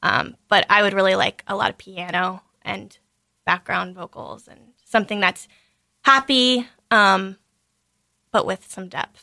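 Bright, sharp tone at a fairly slow pace, with ordinary pitch variation, big swings in loudness, long, frequent pauses, and a dry, close sound with no echo. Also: woman, medium pitch for a woman. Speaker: singer-songwriter. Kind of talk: casual radio interview. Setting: studio.

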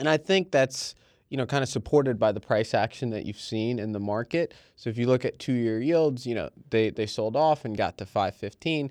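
A plain, everyday voice speaks at a moderate pace with ordinary pitch variation, the sound dry and close with no echo against a quiet background. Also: man, medium pitch for a man. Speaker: markets trader. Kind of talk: casual chat.

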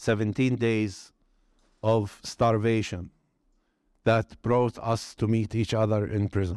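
A man with a strong Arabic accent speaks very slowly at a medium pitch, in a monotone, flat delivery with long, frequent pauses. The recording is very clean with a silent background and a dry, close sound with no echo. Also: very even loudness. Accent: Arabic-accented English, fairly strong. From Palestine, West Bank. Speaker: Palestinian nonviolence activist, former political prisoner. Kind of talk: talk and conversation on stage.

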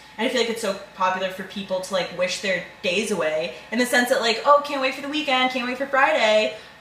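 With audible room echo and noticeable background noise, a woman at a fairly high pitch talks at a fairly quick pace with lively intonation and hardly any pauses. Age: 20s. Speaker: podcast co-host; college student. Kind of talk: casual chat.

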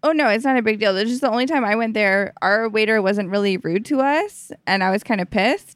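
Fairly high in pitch with ordinary pitch variation, a woman talks at a fairly quick pace in an unremarkable speaking voice. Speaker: stand-up comedian. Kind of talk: casual chat. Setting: at her home.

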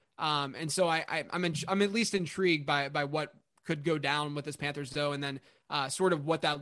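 An ordinary speaking voice from a man, fairly high in pitch, at a fairly quick pace with fairly even intonation, over a quiet background. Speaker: fantasy football podcaster. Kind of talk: casual chat.

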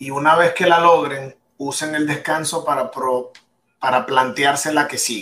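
Bright and sharp in tone, a man speaks at a fairly slow pace with fairly high pitch and ordinary pitch variation. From Venezuela, Maracaibo. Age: 40s. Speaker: entrepreneur and e-commerce consultant. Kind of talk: radio interview.

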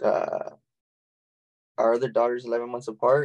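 This is a man speaking with an American accent. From Texas, San Antonio. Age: 30s. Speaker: small business owner and networking club founder. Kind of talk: casual interview chat.

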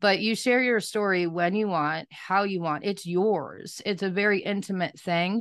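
With hardly any pauses, a woman with an unremarkable speaking voice talks at a medium pitch with fairly even intonation against a quiet background. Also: moderate pace. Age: 30s. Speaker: podcast host and trafficking survivor. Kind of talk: interview testimony.

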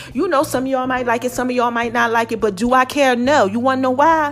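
A woman talks at a very fast pace in an animated tone, high-pitched with ordinary pitch variation. Noticeable background noise runs underneath. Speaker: podcast host. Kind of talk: motivational monologue.

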